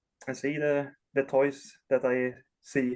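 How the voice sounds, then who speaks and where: A man with a Swedish accent speaks at a very slow pace. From Sweden. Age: 30s. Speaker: collector. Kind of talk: interview. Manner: halting.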